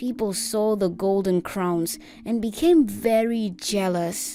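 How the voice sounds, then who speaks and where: Music sits in the background. A woman speaks at a very slow pace. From South Africa. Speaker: voice actor. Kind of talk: storytelling narration.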